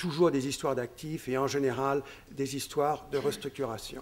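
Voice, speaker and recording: This man keeps a moderate pace, his voice pitched fairly high. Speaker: fund manager. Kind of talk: conference presentation. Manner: halting, many hesitations and repetitions.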